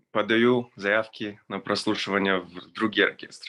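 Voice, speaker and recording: A man speaks very slowly in a bright, sharp tone with a slight non-native accent, a fairly low pitch and fairly even intonation. The background is quiet. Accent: slight foreign accent in Russian. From Israel. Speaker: orchestral violinist. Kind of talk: testimony. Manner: halting, many fillers.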